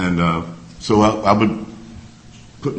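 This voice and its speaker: An American-accented man with a very deep, low pitch, at a fairly slow pace, amid noticeable background noise and audible room echo. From Mississippi, US South. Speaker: civil rights activist. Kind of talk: personal testimony.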